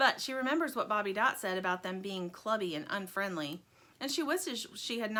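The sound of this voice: This is an unforced reading voice. It carries the whole clip.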